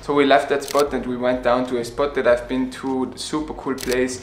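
Amid audible room echo and faint background music, a man talks at a moderate pace in a monotone, flat intonation. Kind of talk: casual vlog chat. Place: home room. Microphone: phone near.

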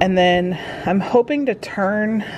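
Light background noise behind a female speaker, her pitch varying in an ordinary way. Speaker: family vlogger. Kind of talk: casual vlog chat. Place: garden. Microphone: phone near.

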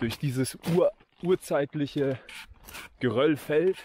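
A man talks in a dry sound with no echo while clear music plays behind. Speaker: hiker vlogger. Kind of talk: casual vlog chat. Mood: relaxed, cheerful. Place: open country. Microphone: phone near.

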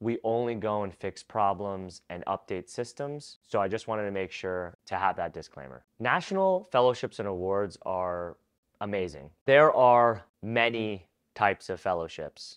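In an ordinary speaking voice, a man talks at a moderate pace and a fairly low pitch with ordinary pitch variation against a quiet background. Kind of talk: educational advice talk. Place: home room. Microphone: lapel.

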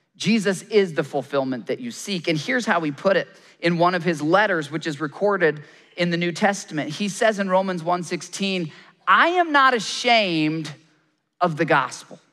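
A man with an American accent talks at a moderate pace. His voice is high and has a bright, sharp tone, with ordinary pitch variation. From Michigan. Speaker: pastor and journalist; pastor, journalist. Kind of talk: sermon. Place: stage. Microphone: headset.

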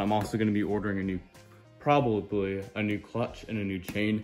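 Over faint background music, a man speaks at a very fast pace in a fairly low pitch with monotone, flat intonation. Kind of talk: casual vlog chat. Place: garage. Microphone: phone near.

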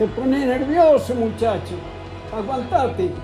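Over clear music in the background, a man speaks at a fairly slow pace with lively intonation. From Spain. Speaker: elderly football fan. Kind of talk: casual talk while watching football at home. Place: home room. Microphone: phone near.

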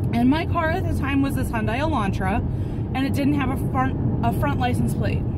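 Over loud background noise, a woman's voice comes through dry, with no echo. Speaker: vlogger. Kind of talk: casual vlog storytelling. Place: car. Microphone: phone near.

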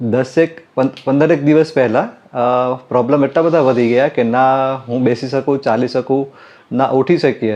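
Fairly even in intonation, a man's voice sits at a medium pitch with a dark, mellow tone. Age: 40s. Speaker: optician, patient. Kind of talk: testimony.

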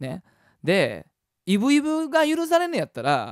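A man's voice moves through very wide pitch swings. The sound is dry with no echo, and the background is quiet. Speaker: musician hosting weekly web show. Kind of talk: casual talk show chat. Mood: cheerful, playful. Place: home room. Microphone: studio mic.

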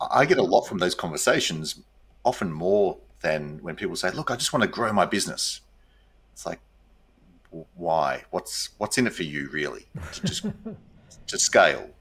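The speech moves at a moderate pace with long, frequent pauses. Its loudness swings widely. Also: man. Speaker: interview guest. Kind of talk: interview answer. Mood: warm, reflective. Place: home room.

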